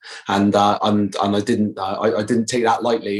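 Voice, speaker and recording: This man has a Bristol accent and a fairly low pitch. He speaks at a very fast pace. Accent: Bristolian West Country. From Bristol, southwest England. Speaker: actor. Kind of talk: podcast interview. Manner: halting, many fillers.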